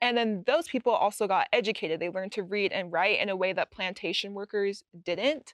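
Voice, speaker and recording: A plain, everyday voice with an American accent moves at a fairly quick pace, with ordinary pitch variation and hardly any pauses. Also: woman, medium pitch for a woman. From Utah. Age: 20s. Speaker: university student. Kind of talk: casual chat.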